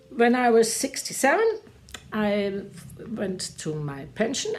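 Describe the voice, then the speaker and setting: A woman with a German accent is heard over noticeable background noise. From Germany. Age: 70s. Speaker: retired teacher and church volunteer. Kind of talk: testimony. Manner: halting.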